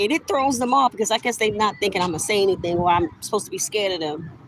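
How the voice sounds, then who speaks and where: Noticeable background noise runs under a woman's animated tone. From New York. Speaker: vlogger. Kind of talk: casual monologue.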